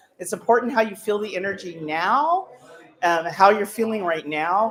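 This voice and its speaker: Noticeable background noise sits under a woman speaking at a moderate pace in a medium pitch. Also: ordinary pitch variation. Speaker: psychic medium. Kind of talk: live demonstration to an audience. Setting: room with live audience. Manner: loud; halting, many fillers.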